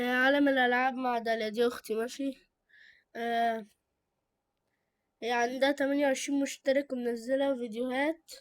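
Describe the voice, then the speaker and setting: With long, frequent pauses, a woman speaks in a high pitch and a monotone, flat intonation at a moderate pace, on a very clean recording with a silent background. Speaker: YouTuber reviewing channels. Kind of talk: casual chat. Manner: halting; loud.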